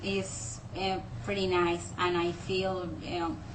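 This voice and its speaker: A woman with a Mexican accent. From Mexico. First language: Spanish. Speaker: English learner. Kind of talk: casual talk to camera. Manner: hesitant, many fillers.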